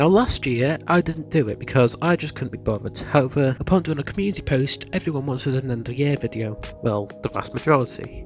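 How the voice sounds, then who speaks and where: With music playing behind him, a man talks at a fairly quick pace and medium pitch, with ordinary pitch variation. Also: hardly any pauses. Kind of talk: casual voiceover for hobby video. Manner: soft-spoken.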